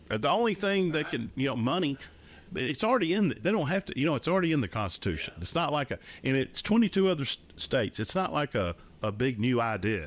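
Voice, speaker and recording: Very wide pitch swings and vocal fry at a very fast pace, on a very clean recording with a silent background. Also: man, fairly high pitch for a man. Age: 60s. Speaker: political talk show co-host. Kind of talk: casual political discussion. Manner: halting, repeats words.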